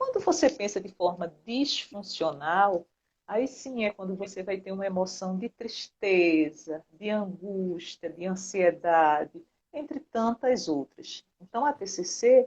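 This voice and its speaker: A woman speaks at a very slow pace. Her medium-pitched voice carries lively intonation. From Brazil, Recife, Pernambuco. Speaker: psychologist. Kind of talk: interview.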